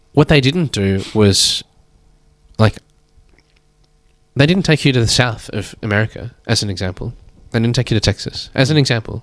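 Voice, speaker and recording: A man with an Australian accent speaks at a medium pitch and a moderate pace, with lively intonation. He takes long, frequent pauses, and the sound is dry and close with no echo. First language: Chinese. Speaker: painter and artist. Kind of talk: casual chat.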